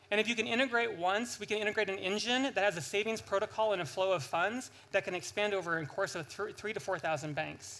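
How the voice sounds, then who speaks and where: A man with an American accent speaks at a very fast pace and high pitch in a raised, projected voice with a bright, sharp tone, ordinary pitch variation and hardly any pauses. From United States. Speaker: startup founder. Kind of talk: sales pitch. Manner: animated.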